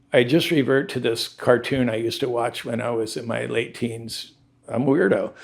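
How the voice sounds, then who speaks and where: A man at medium pitch with a Southern Californian accent, fairly even intonation and a moderate pace. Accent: Southern California American. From suburban Los Angeles, Southern California. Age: 60s. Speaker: surfwear businessman and surfboard shaper. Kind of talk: interview conversation. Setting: at his ocean-front home. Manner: casual, relaxed.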